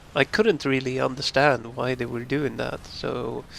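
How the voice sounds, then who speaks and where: A man talks with ordinary pitch variation. His voice sits at a medium pitch. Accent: Swedish. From northern Sweden. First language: Swedish. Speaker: YouTube gamer. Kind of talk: casual talk to camera. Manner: slow; pauses for breath.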